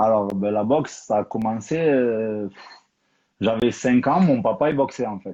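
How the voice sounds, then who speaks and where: This man has a dark, mellow tone and a medium pitch. He speaks at a fairly slow pace with ordinary pitch variation. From Toulouse, southern France. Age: 30s. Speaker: professional boxer and coach. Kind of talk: interview.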